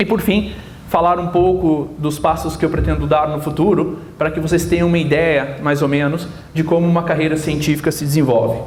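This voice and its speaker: Against noticeable background noise and audible room echo, a man with a slight Minas Gerais accent speaks at a fairly high pitch with fairly even intonation. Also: fairly quick pace. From southern Minas Gerais, Brazil. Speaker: physicist. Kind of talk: lecture. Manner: halting.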